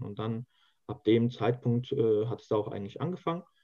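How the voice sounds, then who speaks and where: A man is speaking. His pace is moderate. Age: 20s. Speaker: youth association leader and student. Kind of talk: interview. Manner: hesitant, many filler sounds.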